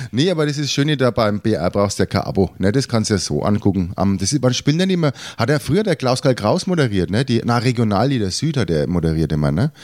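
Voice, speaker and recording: The speech races at a very fast pace with vocal fry, very wide pitch swings, very even loudness and hardly any pauses. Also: man, medium pitch for a man. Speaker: podcast co-host. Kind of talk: casual chat.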